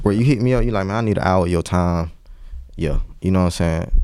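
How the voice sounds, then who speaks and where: In a very clean recording with a silent background, a man with an American accent speaks at a very fast pace, his pitch swinging very widely. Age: 30s. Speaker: entrepreneur. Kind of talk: casual chat.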